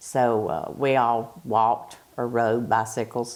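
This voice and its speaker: This is a very clean recording with a silent background. A woman speaks with a Southern US accent. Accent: Southern US (Georgia). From US South, Bartow County, Georgia. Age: 60s. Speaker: retired factory quality control worker. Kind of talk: oral history interview.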